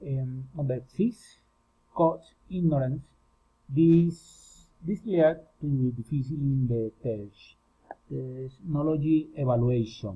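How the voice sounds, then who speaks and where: Talking very slowly, a man uses a fairly high pitch and ordinary pitch variation. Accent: Spanish. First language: Spanish. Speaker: student. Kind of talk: class presentation. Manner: halting.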